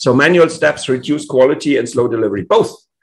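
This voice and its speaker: A man talks with a German accent. His pace is fairly quick. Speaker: tech conference speaker. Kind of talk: conference talk. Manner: halting.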